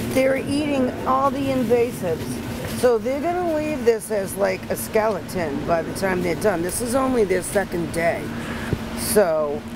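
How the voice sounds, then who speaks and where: A woman speaks fairly slowly while loud noise fills the background. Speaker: goat farmer. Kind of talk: interview. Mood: relaxed, lightly humorous. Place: garden.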